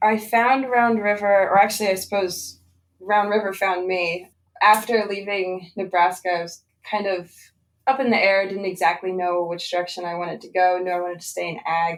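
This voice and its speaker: At a moderate pace, a woman with a slight Pennsylvania accent speaks at medium pitch with fairly even intonation and big swings in loudness. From Southeast Pennsylvania. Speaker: cattle herdsman, former farm apprentice. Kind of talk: podcast interview.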